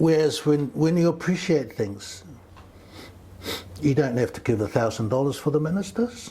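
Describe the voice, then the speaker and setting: A man with a Samoan accent speaks at a moderate pace, his fairly high pitch making very wide swings. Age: 70s. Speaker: community elder and men's wellness mentor. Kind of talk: podcast interview.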